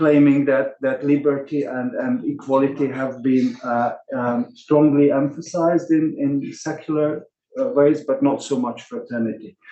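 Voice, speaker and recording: A man with a non-native accent, fairly high in pitch, at a moderate pace with ordinary pitch variation. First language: not English. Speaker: workshop organizer. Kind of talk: closing remarks. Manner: halting, many fillers and repetitions.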